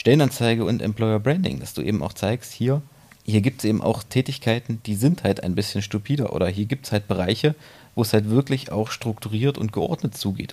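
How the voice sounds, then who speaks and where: A man with a medium pitch and a dark, mellow tone speaks at a fairly quick pace with ordinary pitch variation. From Thuringia, Germany (Erfurt). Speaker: copywriter. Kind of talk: interview.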